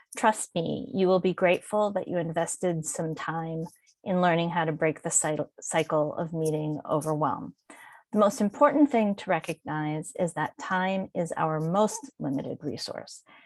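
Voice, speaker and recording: Lively intonation marks a woman's fairly low-pitched, a normal speaking voice at a moderate pace, recorded with a dry, close sound with no echo against a quiet background. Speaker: workshop presenter and publishing consultant. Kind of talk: webinar presentation. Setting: online webinar.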